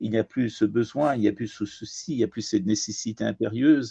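A man speaks at a moderate pace. The recording is dry and close, with no echo. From Iran and France. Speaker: poet and translator. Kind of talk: interview.

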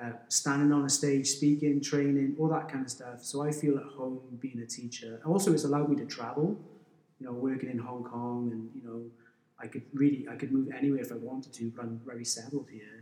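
With a South Wales accent, a man speaks at a fairly quick pace in a medium pitch. His intonation stays fairly even while his loudness swings widely. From Wales, valleys near Pontypridd. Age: 40s. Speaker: school business teacher and endurance runner. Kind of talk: casual interview. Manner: halting, frequent repetitions.

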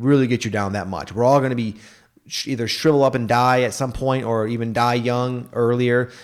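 A man with an unremarkable speaking voice, medium pitch, fairly even intonation and a fairly quick pace. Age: 30s. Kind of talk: casual chat.

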